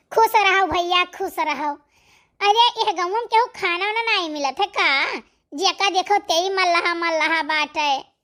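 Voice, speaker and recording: A woman speaks in a cartoonish character voice with an extremely high pitch at a moderate pace. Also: ordinary pitch variation. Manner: blunt, scolding.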